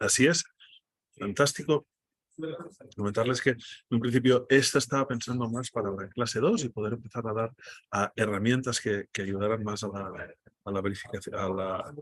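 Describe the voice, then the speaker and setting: A man with a Catalan accent, medium pitch, moderate pace, ordinary pitch variation, and long, frequent pauses. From Spain, Catalonia. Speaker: data journalist, workshop speaker. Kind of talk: online workshop presentation. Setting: video call from airport restaurant.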